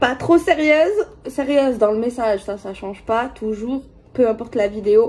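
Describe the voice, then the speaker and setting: A woman talks at a fairly high pitch. Her pitch varies in an ordinary way. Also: moderate pace, big swings in loudness. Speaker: tarot card reader. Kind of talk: tarot reading video. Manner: hesitant, many fillers; soft-spoken.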